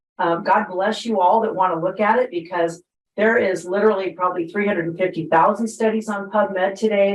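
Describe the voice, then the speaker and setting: A woman with a normal speaking voice, medium pitch, ordinary pitch variation and a fairly quick pace. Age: 60s. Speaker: network marketing distributor. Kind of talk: panel testimony.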